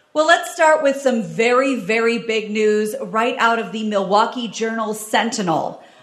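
Lively intonation at a moderate pace, over noticeable background noise. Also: woman. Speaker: news reporter on podcast. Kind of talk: news reading. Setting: stage with audience.

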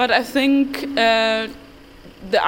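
Using ordinary pitch variation, a woman with a German accent speaks at a very slow pace. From Germany, Dortmund. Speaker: interview guest. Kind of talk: casual interview. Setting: outdoors at night. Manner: halting.

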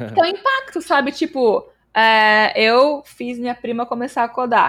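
A woman's high-pitched voice at a fairly slow pace, in a very clean recording with a silent background. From Brazil, São Paulo state. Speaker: developer relations engineer and streamer. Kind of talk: casual interview chat.

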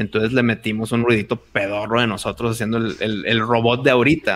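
Fairly quick, medium-pitched speech from a man. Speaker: podcaster and video producer. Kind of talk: casual chat.

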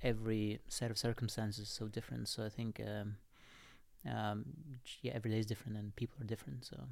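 Talking at a very fast pace yet with long, frequent pauses, a man in a Russian accent keeps a fairly low pitch and fairly even intonation. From Russia (Moscow). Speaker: entrepreneur and writer. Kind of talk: casual interview. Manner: halting.

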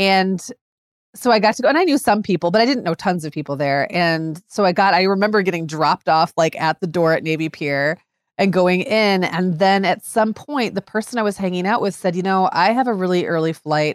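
A woman's plain, everyday voice at a medium pitch and fairly quick pace, with ordinary pitch variation, dry and close with no echo, on a very clean recording with a silent background. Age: 40s. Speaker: podcast co-host, mother. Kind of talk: casual chat.

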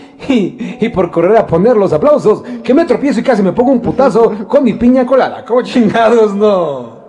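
A man with a high voice speaks at a moderate pace with hardly any pauses and ordinary pitch variation. His loudness stays very even over noticeable background noise. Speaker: radio producer and co-host. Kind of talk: casual radio chat.

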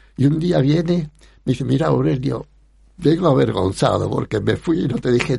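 A medium-pitched man with vocal fry and very wide pitch swings. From Spanish Morocco. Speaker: photographer. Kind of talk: interview, life story. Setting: radio studio.

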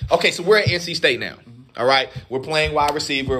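A man talks at a fairly quick pace in an animated tone. Noticeable background noise can be heard. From US South, Durham, North Carolina. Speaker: podcast co-host. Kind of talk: casual chat.

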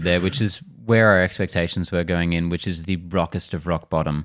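Here a man speaks at a fairly quick pace with a very deep, low pitch and fairly even intonation. The recording is very clean, with a silent background. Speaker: podcast co-host, movie reviewer. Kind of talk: casual chat, movie review. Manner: blunt, profane.

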